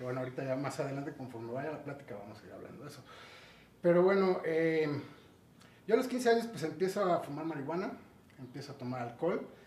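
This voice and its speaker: Speaking at a fairly quick pace with lively intonation, a man with a fairly high pitch is heard against audible room echo. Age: 40s. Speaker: recovering addict. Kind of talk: interview testimony.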